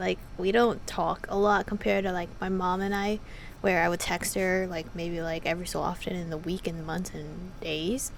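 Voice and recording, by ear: A woman's fairly low-pitched voice with an American accent, vocal fry, ordinary pitch variation and a moderate pace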